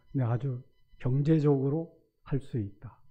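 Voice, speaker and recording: A man speaks with music in the background. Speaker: retired school principal, church elder. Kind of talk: testimony. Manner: halting.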